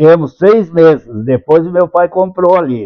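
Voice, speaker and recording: A man speaks at a very slow pace. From southern Brazil, Santa Catarina. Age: 90s. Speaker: retired local politician and church elder. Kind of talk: interview, life story.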